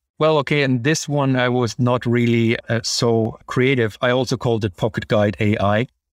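Speaking with a German accent at a moderate pace, a man of medium pitch keeps fairly even intonation, very even loudness and hardly any pauses in a dry, close sound with no echo. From Germany. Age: 40s. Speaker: psychotherapist and AI developer. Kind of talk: interview. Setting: remote call.

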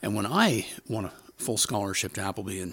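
A man talks. Noticeable background noise is present. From Ontario, Canada. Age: 60s. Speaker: storyteller, publisher. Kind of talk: storytelling, personal ghost story.

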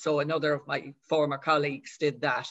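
The speaker talks at a fairly quick pace in a Dublin accent. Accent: Dublin Irish. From Dublin, Ireland. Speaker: author. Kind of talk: casual chat.

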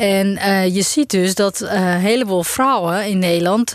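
Speaking at a very slow pace, a woman keeps a medium pitch with ordinary pitch variation. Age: 40s. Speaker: business owner and speaker. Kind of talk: interview.

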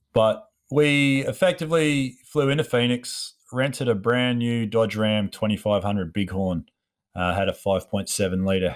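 Over a silent background in a very clean recording, a man with an Australian accent speaks with lively intonation. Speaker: podcast host, steel fabricator and sculptor. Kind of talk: solo monologue, casual storytelling. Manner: casual, hesitant with fillers.

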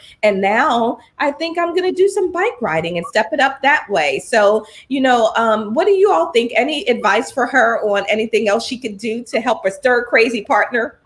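Her high voice swings very widely in pitch, with an animated tone. The woman keeps a moderate pace with hardly any pauses. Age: 50s. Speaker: podcast host and leadership coach. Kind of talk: live-streamed talk show chat.

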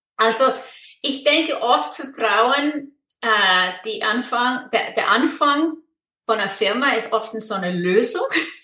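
A woman's high, bright, sharp voice with an Icelandic accent, very slow and with lively intonation. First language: Icelandic (speaking German). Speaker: online business mentor. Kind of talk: interview. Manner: halting.

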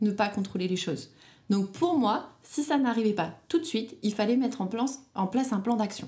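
A somewhat breathy, fairly high-pitched woman's voice with lively intonation. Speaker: bridal shop owner, entrepreneur and mother. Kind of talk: casual interview, personal testimony. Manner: talkative.

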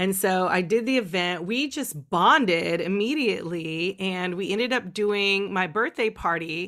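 An animated woman with an American accent speaks at a moderate pace with lively intonation, a medium pitch and a bright, sharp tone. She hardly pauses, and the recording is very clean with a silent background. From California, small town. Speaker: sexologist and sex educator. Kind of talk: interview.

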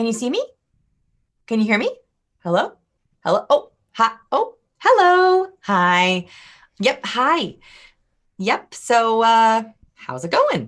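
A woman speaks with very wide swings in her pitch. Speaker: author and people-skills trainer. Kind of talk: interview. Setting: video call.

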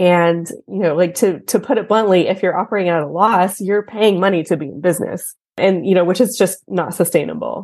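A woman talks at a fairly quick pace with hardly any pauses, using a medium pitch, ordinary pitch variation and a plain, everyday voice against a quiet background. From Texas. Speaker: accountant. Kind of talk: interview.

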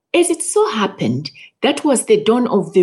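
Somewhat breathy, a woman speaks at a moderate pace. The background is quiet. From Zimbabwe. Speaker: plant geneticist. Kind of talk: interview.

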